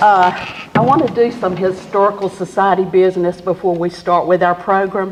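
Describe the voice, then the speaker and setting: A woman with a Southern US accent talks at a moderate pace amid noticeable background noise. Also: medium pitch for a woman, fairly even intonation. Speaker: historical society board member, program emcee. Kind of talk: event emcee speech. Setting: commemoration event with live audience, microphone.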